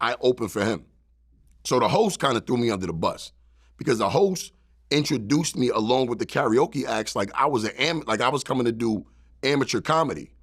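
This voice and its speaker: Fairly quick, lively speech with a strong New York accent, on a very clean recording with a silent background. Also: man. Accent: thick New York. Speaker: stand-up comedian. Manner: storytelling, casual.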